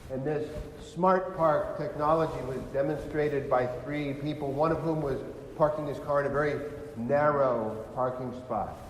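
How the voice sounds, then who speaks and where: Over noticeable background noise and audible room echo, a man with an American accent talks. His pitch is fairly high and his pace fairly slow. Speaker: deacon. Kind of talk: sermon. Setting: church.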